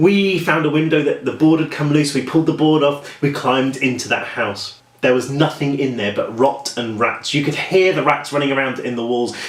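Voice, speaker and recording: Over noticeable background noise, a man with a British accent talks at a fairly quick pace. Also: fairly high pitch for a man, ordinary pitch variation, hardly any pauses. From England, Norwich. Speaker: horror author. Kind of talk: casual vlog storytelling. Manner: chatty, talks a lot.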